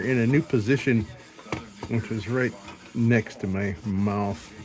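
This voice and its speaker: Music plays in the background as a man speaks. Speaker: lantern restoration hobbyist. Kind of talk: casual workshop tutorial. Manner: rambling conversational.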